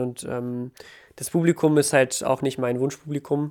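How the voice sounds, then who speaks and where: Over a silent background in a very clean recording, a man with a fairly high pitch speaks in a monotone, flat intonation. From Ukraine. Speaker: battle rapper. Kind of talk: casual interview.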